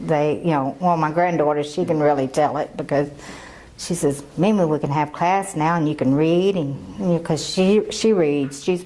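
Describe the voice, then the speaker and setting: This woman has a very deep, low voice with ordinary pitch variation. She talks at a moderate pace over noticeable background noise. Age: 60s. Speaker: adult literacy learner. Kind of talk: testimony.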